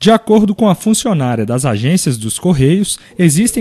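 With very wide pitch swings, a man with a high pitch speaks at a moderate pace. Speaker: TV news reporter. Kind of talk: TV news narration.

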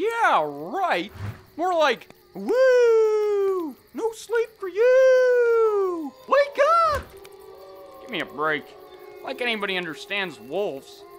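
A cartoonish character voice moves at a very slow pace with long, frequent pauses. Music plays in the background. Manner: sarcastic, scoffing, belligerent.

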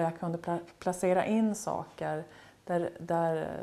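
A woman speaks very slowly in a dark, mellow tone. Her pitch is fairly low and her intonation is monotone and flat. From Norrbotten, northern Sweden (near Kalix); Norrbotten, Sweden. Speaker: painter. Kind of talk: interview. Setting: artist's studio. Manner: halting. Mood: calm, reflective. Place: home room.

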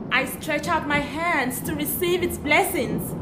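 Amid noticeable background noise, a woman speaks at a very slow pace, her high pitch making very wide swings. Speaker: performance poet. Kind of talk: poetry reading. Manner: dramatic.

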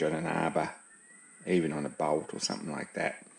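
Audible room echo surrounds the speaker. He is a man talking at a moderate pace. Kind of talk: tutorial. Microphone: camera far.

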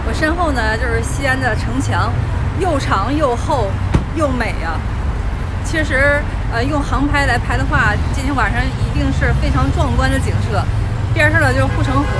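Music plays in the background while a woman speaks. Her pace is moderate, broken by long, frequent pauses. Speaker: travel vlogger. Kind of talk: casual vlog chat. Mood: cheerful, self-amused. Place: street. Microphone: phone near.

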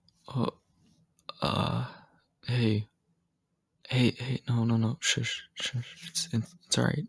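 Soft-spoken and somewhat breathy, a man talks at a very slow pace with long, frequent pauses. His intonation is fairly even, and the background is quiet. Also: dry sound with no echo. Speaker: ASMR voice actor. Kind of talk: ASMR roleplay. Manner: soft-spoken, hushed. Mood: nervous, soothing.

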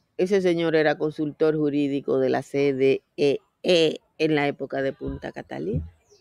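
Over a quiet background, a woman speaks at a moderate pace in a very deep, low pitch, her tone dark and mellow, her intonation fairly even and the sound dry with no echo. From Dominican Republic. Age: 60s. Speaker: political commentator. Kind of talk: casual chat. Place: garden. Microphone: webcam.

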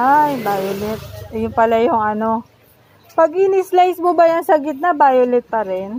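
A woman's high voice with very wide pitch swings at a fairly slow pace, over noticeable background noise. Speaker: vlogger. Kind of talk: casual vlog narration. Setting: outdoors at a street market.

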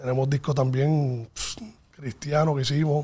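A man speaks at a fairly slow pace with a fairly high pitch and monotone, flat intonation. His tone is dark and mellow, somewhat breathy. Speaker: music producer and mixing engineer; guest. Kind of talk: interview. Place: studio. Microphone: studio mic.

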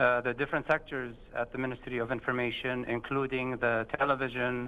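This man talks at a fairly quick pace. His pitch moves very little. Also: medium pitch for a man.

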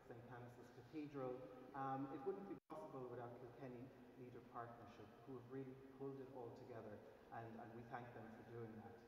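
Over light background noise and audible room echo, a man at a medium pitch talks at a fairly quick pace. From Ireland. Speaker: gallery curator; event host. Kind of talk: event introduction. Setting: cathedral with live audience. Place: church.

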